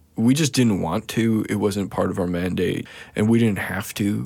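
With a western Canadian accent, a man speaks at a moderate pace. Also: very clean recording, silent background. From Saskatchewan, Canada. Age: 30s. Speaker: visual artist. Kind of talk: casual interview conversation. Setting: studio. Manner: halting, many fillers and restarts.

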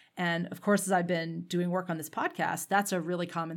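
A woman speaks with a Canadian accent and fairly low pitch. Her intonation stays fairly even, with vocal fry. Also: very clean recording, silent background. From Canada. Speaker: podcast host. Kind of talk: interview.

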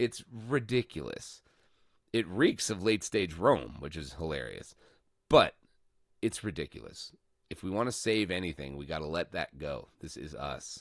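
A man's very deep, low voice with an American accent, vocal fry, very wide pitch swings and big swings in loudness, at a moderate pace over a quiet background. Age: 30s. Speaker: political podcast host. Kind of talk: solo political commentary. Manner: animated.

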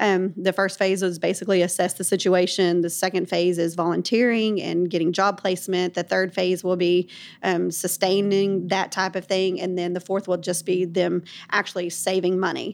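On a very clean recording with a silent background, a woman talks at a moderate pace in a medium pitch, her intonation flat and monotone. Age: 40s. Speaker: founder of homeless ministry nonprofit. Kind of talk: faith-based interview.

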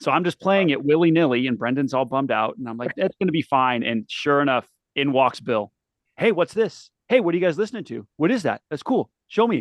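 A man with an unremarkable speaking voice, fairly high in pitch, with lively intonation and a fairly quick pace. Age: 30s. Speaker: punk bassist and stagehand. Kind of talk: casual interview. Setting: studio.

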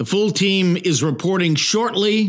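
This man speaks with an Ohio accent and a high pitch. His pace is very slow, and his intonation is lively. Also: very clean recording, silent background. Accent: Midwestern American (Ohio). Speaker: sports podcast host. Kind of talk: solo sports commentary monologue.

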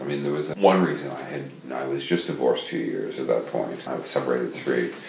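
The speech moves at a fairly quick pace amid audible room echo and noticeable background noise. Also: man. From New York City, US. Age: 60s. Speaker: novelist. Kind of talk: interview conversation. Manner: halting, repeats words.

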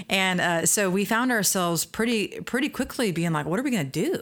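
An ordinary speaking voice moves at a fairly quick pace with lively intonation in a very clean recording with a silent background. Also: woman. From US Midwest. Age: 30s. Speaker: seminary leadership center director, author. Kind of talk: interview conversation.

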